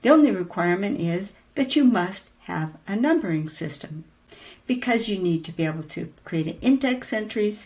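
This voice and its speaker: A woman talks at a moderate pace, somewhat breathy. Her pitch swings very widely. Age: 70s. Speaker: podcast host, writing teacher. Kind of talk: casual tutorial monologue. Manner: conversational, with fillers and hesitations.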